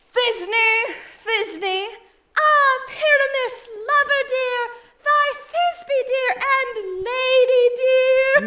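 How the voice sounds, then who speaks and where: Put on as a character, this squeaky, extremely high-pitched voice moves at a very slow pace with long, frequent pauses. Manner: theatrical, exaggerated.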